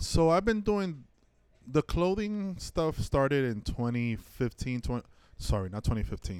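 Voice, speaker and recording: In an American accent, a man speaks at a very slow pace with very wide pitch swings. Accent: New York Dominican American. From Washington Heights, New York. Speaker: artist and entrepreneur. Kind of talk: casual interview chat.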